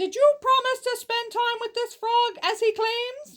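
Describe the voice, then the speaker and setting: A woman puts on a squeaky character voice at an extremely high pitch, with fairly even intonation and a moderate pace. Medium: read story.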